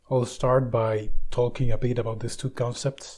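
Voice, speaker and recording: Speaking at a fairly slow pace with a Spanish accent, a man has a medium-pitched, dark, mellow voice that is somewhat breathy. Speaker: book video essayist. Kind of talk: lecture.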